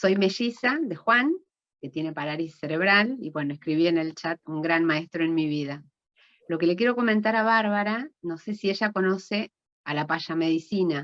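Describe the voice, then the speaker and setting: A woman with an ordinary speaking voice, fairly low pitch, ordinary pitch variation and a moderate pace. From Argentina, Venado Tuerto. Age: 50s. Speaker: ontological coach and medical clown. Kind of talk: audience comment.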